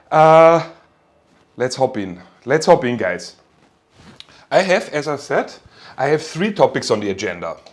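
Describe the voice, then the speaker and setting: With a German accent, a man speaks fairly slowly at a fairly high pitch, using vocal fry, very wide pitch swings and long, frequent pauses. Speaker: university lecturer. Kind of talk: lecture. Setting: online class from home. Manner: casual, with fillers and repeats.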